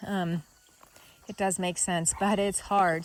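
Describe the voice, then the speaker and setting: A woman talks with a Kansas accent. Her pace is fairly slow. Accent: Midwestern US (Kansas). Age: 40s. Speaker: vlogger. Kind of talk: personal video diary. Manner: casual, conversational.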